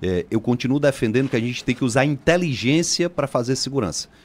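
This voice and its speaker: Over a very clean recording with a silent background, a man speaks very fast with ordinary pitch variation. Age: 40s. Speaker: politician, mayoral candidate. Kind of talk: radio interview.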